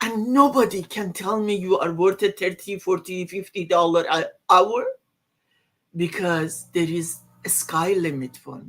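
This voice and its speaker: A woman speaks with a non-native accent at a fairly slow pace and a medium pitch. Her loudness swings widely, while her pitch varies in an ordinary way. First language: not English. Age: old. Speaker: online business owner. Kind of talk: casual chat.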